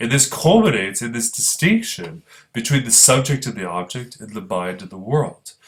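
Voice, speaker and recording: The man's voice is somewhat breathy and sits at a medium pitch. He speaks at a moderate pace. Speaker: philosophy professor. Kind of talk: lecture. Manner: halting.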